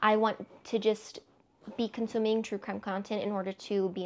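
A woman with an American accent talks in a fairly high voice. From Texas. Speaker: book vlogger. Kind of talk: casual monologue to camera. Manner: animated. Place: home room.

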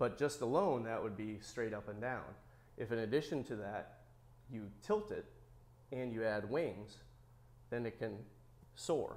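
This man talks with ordinary pitch variation and long, frequent pauses. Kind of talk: interview answer. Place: workshop. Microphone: lapel.

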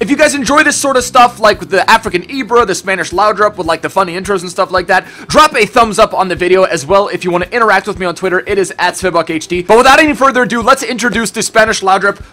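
Speaking at a very fast pace, a man uses a raised, projected voice with ordinary pitch variation. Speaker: gaming youtuber. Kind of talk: casual gaming commentary. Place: home room.

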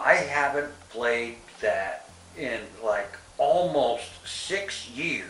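Man's voice with audible room echo and light background noise. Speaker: vlogger giving an update. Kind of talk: casual vlog chat. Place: home room.

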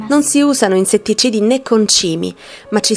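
A woman with a fairly high pitch talks at a moderate pace with ordinary pitch variation while music plays in the background. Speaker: narrator. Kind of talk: documentary narration.

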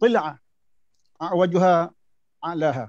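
This man's voice sits high, with ordinary pitch variation and a moderate pace. The sound is dry with no echo, over a quiet background. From Malaysia, Negeri Sembilan; Malaysia. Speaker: former imam and judge; speaker, panelist. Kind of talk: panel discussion. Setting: video call. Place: office. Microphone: video call.

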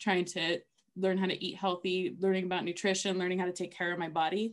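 A woman with an American accent speaks at a medium pitch against a quiet background. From Los Angeles, US. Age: 30s. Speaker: author and therapist. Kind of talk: testimony; casual chat. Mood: earnest, personal, reflective. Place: home room. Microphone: webcam.

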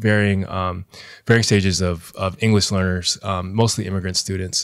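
A man's fairly low voice at a fairly quick pace, with a quiet background. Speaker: high school teacher and DJ; high school teacher, DJ. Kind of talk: casual interview conversation. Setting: on camera. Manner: animated. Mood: reflective, personal storytelling. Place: home room. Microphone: studio mic.

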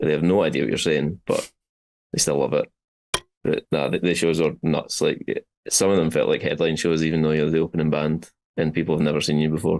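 In a Scottish accent, a man with a very deep, low pitch talks at a fairly quick pace, leaving long, frequent pauses while keeping his loudness very even. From Scotland. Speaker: metal guitarist. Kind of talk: interview answer. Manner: casual, enthusiastic. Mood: enthusiastic, happy. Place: home room. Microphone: video call.

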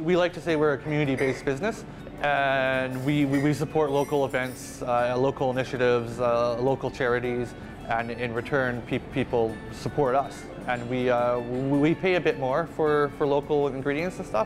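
With clear music in the background, a man speaks at a moderate pace and with fairly even intonation. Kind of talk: interview answer. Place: cafe.

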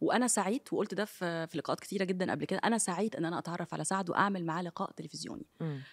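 A woman's animated, very fast talk with hardly any pauses, over a quiet background. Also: ordinary pitch variation. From Egypt. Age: 30s. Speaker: TV presenter. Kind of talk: interview. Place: studio. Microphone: studio mic.

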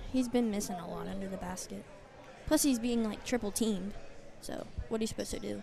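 A woman is talking with ordinary pitch variation. The sound is dry with no echo, with light background noise. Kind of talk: live sports commentary, courtside play-by-play. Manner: excitable, rapid-fire, exclaiming at each play; opinionated, coach-like, rooting for the home team. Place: hall. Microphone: phone near.

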